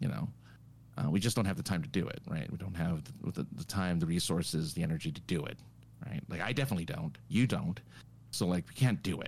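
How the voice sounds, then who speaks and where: A man's very deep, low voice with vocal fry, very wide pitch swings and a very fast pace. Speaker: podcast co-host. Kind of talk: casual chat. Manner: loud.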